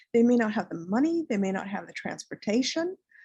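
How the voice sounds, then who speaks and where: Against a quiet background, a woman with a fairly high pitch, a dark, mellow tone and a somewhat breathy voice speaks with lively intonation in a dry, close sound with no echo. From US, raised in Colombian household, lived in Central/South America. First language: Spanish. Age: 60s. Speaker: clinical social worker. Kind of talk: lecture. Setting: webinar. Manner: halting, many repetitions.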